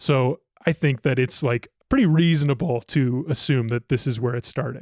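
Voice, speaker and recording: A man with an American accent has an ordinary speaking voice, lively intonation and a moderate pace. The recording is very clean, with a silent background and a dry, close sound with no echo. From Ohio. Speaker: podcast producer. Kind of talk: casual chat. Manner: casual, filler-heavy.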